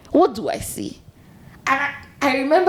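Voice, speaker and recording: With a Nigerian accent, a woman speaks with vocal fry. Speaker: podcast co-host. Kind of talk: casual chat.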